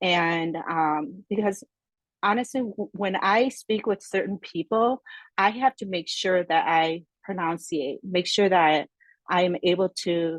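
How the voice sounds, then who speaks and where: A woman's medium-pitched voice with ordinary pitch variation, at a fairly slow pace, dry and close with no echo, over a quiet background. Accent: Korean. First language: Korean. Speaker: podcast guest. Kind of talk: casual interview conversation. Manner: halting.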